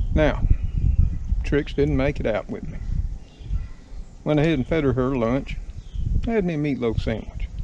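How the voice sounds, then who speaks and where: The speaker has an American accent and a moderate pace with long, frequent pauses. There is noticeable background noise and a dry sound with no echo. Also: man. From Southern United States. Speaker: home mechanic. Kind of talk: casual talk to camera. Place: garden. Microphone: phone near.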